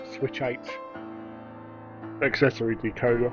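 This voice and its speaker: Background music accompanies the speaker. He is a man, and his intonation stays fairly even. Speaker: model railway hobbyist. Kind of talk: casual tutorial talk to camera.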